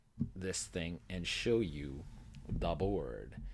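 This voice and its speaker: A man's fairly low-pitched voice with lively intonation, on a very clean recording with a silent background. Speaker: tabletop game designer. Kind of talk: casual vlog talk to camera. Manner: fast.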